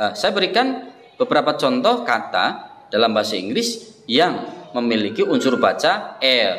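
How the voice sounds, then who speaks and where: Audible room echo surrounds a man whose loudness stays very even. Light background noise sits underneath. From Indonesia. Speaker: English teacher. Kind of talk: tutorial. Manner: repeats words slowly for practice. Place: classroom. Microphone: phone near.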